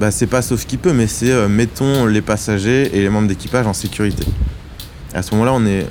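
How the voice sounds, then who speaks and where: Over noticeable background noise, a man talks at a fairly quick pace in a fairly low voice, with ordinary pitch variation and very even loudness. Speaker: ship engineer officer. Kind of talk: testimony. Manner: halting.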